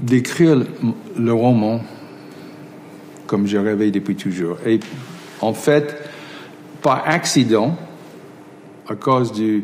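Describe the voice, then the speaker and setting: A man with an English accent speaks at a very slow pace with ordinary pitch variation. Music plays in the background. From United States. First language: English (speaking French). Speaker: film director. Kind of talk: interview. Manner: halting, many repetitions.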